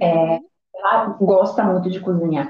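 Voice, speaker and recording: A very slow, somewhat breathy delivery in a Pará accent, with fairly even intonation. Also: woman. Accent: Brazilian Portuguese, Pará (paraense). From Brazil, Belém, Pará. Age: 30s. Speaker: podcast co-host. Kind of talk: casual chat.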